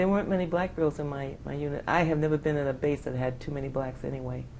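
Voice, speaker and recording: A woman with a New York accent, a very deep, low pitch and a dark, mellow tone, ordinary pitch variation and a fairly quick pace, in audible room echo. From New York City, Bronx. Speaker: Air Force veteran. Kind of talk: oral history interview. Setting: conference.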